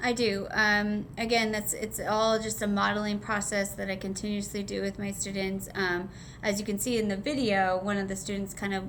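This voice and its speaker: A woman speaks at a medium pitch and a moderate pace in a monotone, flat intonation, with audible room echo. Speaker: special education teacher. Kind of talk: teaching observation reflection interview.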